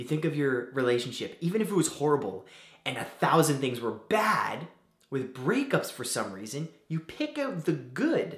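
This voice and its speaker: A man's voice with audible room echo. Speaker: vlogger giving advice. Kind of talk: casual advice vlog. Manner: soft-spoken.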